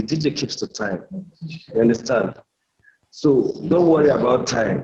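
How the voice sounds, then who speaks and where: This man's voice is dark and mellow in tone and somewhat breathy. He speaks at a medium pitch with lively intonation. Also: moderate pace. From Nigeria. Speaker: DJ. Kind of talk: casual chat. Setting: at work, remote call.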